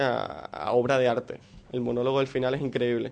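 Here a man speaks at a medium pitch. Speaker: film segment contributor. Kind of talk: radio segment. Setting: studio.

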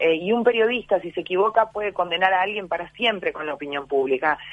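A woman talks fairly quickly in a Uruguayan accent. Her pitch is medium, with ordinary variation. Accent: Uruguayan Rioplatense Spanish. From Uruguay, Montevideo (Cerro neighborhood). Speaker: TV journalist and actress. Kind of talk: radio interview.

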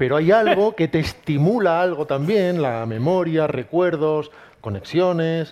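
A man with an ordinary speaking voice talks at a fairly slow pace. His intonation is lively, and his loudness stays very even. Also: fairly high pitch for a man. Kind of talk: live book presentation interview.

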